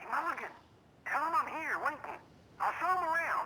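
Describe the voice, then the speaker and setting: In a put-on character voice, the speaker talks at a fairly quick pace with an extremely high pitch. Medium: video game.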